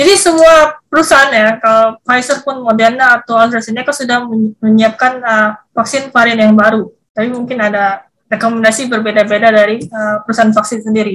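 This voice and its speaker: Ordinary pitch variation in a woman's fairly high voice. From Jakarta, Indonesia. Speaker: vaccine scientist. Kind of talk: interview. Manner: halting, many fillers and repetitions.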